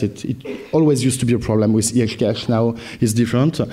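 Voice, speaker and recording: A man with a medium pitch speaks at a very fast pace, his intonation fairly even. There is noticeable background noise and audible room echo. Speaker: software product presenter. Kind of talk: conference presentation. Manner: halting, many fillers.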